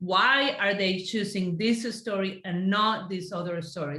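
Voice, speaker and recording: In a Spanish accent, a woman speaks at a medium pitch with ordinary pitch variation. Audible room echo is present. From Colombia. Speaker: Spanish teacher. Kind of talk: casual discussion.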